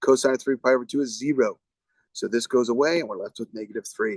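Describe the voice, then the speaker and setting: The sound of this man's voice is dry and close with no echo, and his pitch varies in an ordinary way. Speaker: math teacher. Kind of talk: tutorial. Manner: fast.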